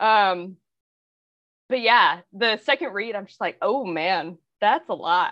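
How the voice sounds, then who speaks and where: A woman at a very slow pace with long, frequent pauses, big swings in loudness, medium pitch, lively intonation and a bright, sharp tone against a quiet background. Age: 30s. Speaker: former clergy. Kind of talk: casual chat.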